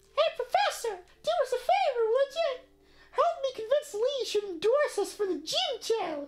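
A put-on character voice, squeaky and extremely high in pitch. It moves at a moderate pace.

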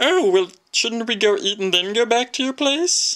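This cartoonish character voice sits at a fairly high pitch. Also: moderate pace. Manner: innocent, polite.

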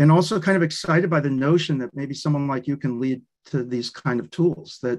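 This man talks at a fairly quick pace with ordinary pitch variation. The background is quiet. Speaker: speaker. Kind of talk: discussion comment in an online lecture. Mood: thoughtful, appreciative. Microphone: video call.

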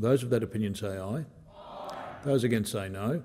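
Speaking at a fairly quick pace with an Australian accent, a man has a fairly low pitch and a dark, mellow tone over light background noise. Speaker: presiding officer of the Senate. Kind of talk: parliamentary procedure and prayer. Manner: formal. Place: hall. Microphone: podium.

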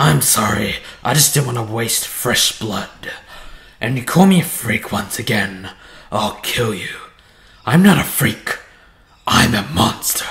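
A man's put-on character voice at a fairly slow pace, with long, frequent pauses. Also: medium pitch for a man. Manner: menacing, hungry.

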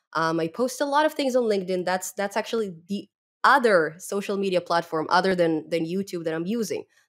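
With a non-native accent and lively intonation, a woman of medium pitch speaks at a fairly quick pace on a very clean recording with a silent background. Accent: foreign, non-native English.

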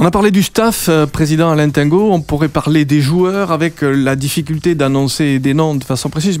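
A man with a fairly high voice talks at a fairly quick clip with ordinary pitch variation, the sound dry and echo-free over faint background music. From France. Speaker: radio presenter. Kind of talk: radio interview. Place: studio. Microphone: studio mic.

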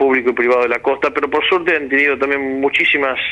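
The man's speech is very fast. His intonation remains fairly even. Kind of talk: interview answer.

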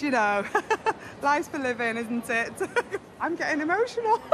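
Music can be heard in the background. Over it, a woman speaks at a fairly quick pace. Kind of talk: interview answer and customer talk. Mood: cheerful, emotional. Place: hall.

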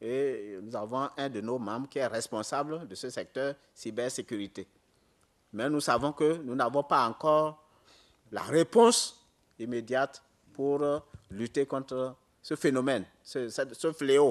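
Against a quiet background, a man talks at a very slow pace with long, frequent pauses. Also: medium pitch for a man, ordinary pitch variation. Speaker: data protection commission member. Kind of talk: answering questions at a conference. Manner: halting.

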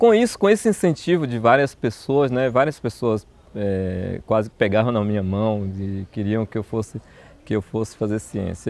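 Lively intonation runs through fairly slow speech, and the sound is dry with no echo. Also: man. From southern Bahia, Brazil (Una); Bahia, Brazil. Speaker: botany professor. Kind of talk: personal testimony interview. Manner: halting, with repetitions. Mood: warm, reflective. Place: garden. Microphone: lapel.

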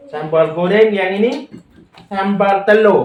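A man is speaking. His pace is very slow. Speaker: vlogger. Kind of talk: casual chat. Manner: animated.

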